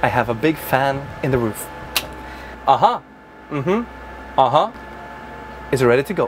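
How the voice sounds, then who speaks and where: Moderate pace and long, frequent pauses from a man, with noticeable background noise. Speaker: bus reviewer and YouTuber. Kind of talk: vlog-style test drive presentation. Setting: inside a bus.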